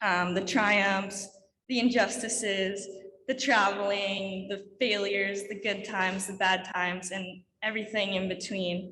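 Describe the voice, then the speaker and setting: Her tone bright and sharp, a woman speaks at a fairly slow pace in a medium pitch with monotone, flat intonation, and audible room echo. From Quebec, Canada. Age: 20s. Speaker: alpine ski racer. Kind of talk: conference talk.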